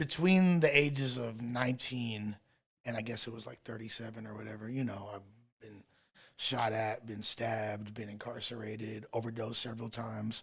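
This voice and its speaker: A somewhat breathy male voice at a moderate pace, with fairly even intonation. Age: 40s. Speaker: rapper. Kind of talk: casual chat.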